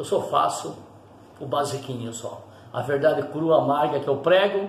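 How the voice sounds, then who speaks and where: Man speaking at a fairly slow pace, with audible room echo and noticeable background noise. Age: old. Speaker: pastor. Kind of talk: sermon. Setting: at home.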